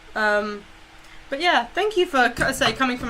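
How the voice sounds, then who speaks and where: A woman speaks in an animated tone at a fairly quick pace. Noticeable background noise sits behind her. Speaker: streamer and cosplayer. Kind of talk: casual chat. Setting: live stream on camera. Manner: loud.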